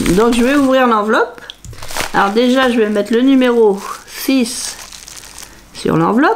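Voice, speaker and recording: Using a playful tone, a woman speaks at a high pitch and a very slow pace, with noticeable background noise behind her. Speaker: crafting youtuber. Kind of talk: unboxing video.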